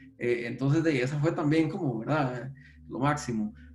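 A man speaks with ordinary pitch variation, accompanied by audible room echo and noticeable background noise. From Costa Rica, San José. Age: 40s. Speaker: database technology expert. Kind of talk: interview conversation. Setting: video call from home.

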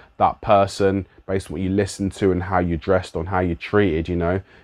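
The sound is dry and close with no echo, over a quiet background. The pace is moderate. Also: man. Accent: London. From London. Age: 30s. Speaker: musician and youth worker. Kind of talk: solo reflective monologue. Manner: casual.

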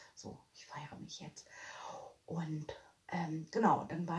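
Noticeable background noise runs under the recording. A woman talks at a fairly slow pace. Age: 40s. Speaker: podcaster. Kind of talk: casual monologue. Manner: animated.

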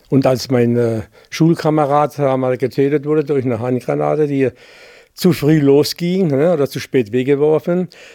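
A man with a dark, mellow tone speaks at a fairly high pitch with ordinary pitch variation. The pace is moderate and the sound is dry and close, with no echo. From Baden, near Bruchsal (Germany). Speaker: contemporary witness. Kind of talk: interview. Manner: halting.

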